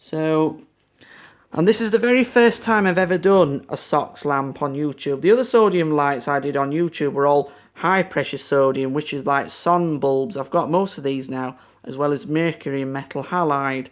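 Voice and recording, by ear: A man at a fairly high pitch and moderate pace. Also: ordinary pitch variation.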